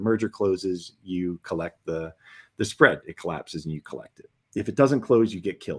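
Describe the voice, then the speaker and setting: Recorded dry and close with no echo, a man speaks with a fairly low voice and ordinary pitch variation. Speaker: former hedge fund manager. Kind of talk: interview. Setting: livestream.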